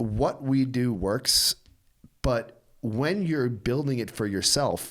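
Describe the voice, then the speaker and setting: A man's normal speaking voice at medium pitch with ordinary pitch variation, in a very clean recording with a silent background. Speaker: martial arts academy executive. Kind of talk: casual podcast conversation.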